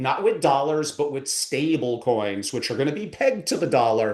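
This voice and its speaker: A man speaks in an animated tone with very wide pitch swings. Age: 60s. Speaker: family office advisor. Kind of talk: podcast interview.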